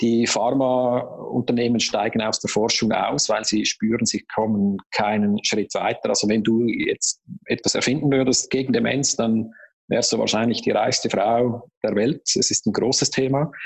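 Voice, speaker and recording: A man with a normal speaking voice, medium pitch, fairly even intonation, very even loudness and a fairly slow pace. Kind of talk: interview.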